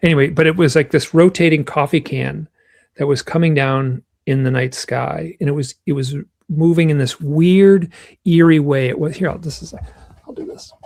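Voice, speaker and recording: A man with an American accent talks at a moderate pace in a fairly high pitch, his intonation fairly even, his voice somewhat breathy, and his loudness swinging widely. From US Midwest, Michigan. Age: 60s. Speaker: author and UFO researcher. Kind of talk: interview, personal storytelling. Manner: halting, many fillers and restarts.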